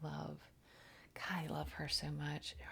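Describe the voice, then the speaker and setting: The woman's voice is quiet. She talks at a moderate pace. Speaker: tarot reader and spiritual channeler. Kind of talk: spiritual oracle card reading livestream. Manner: quiet, low voice.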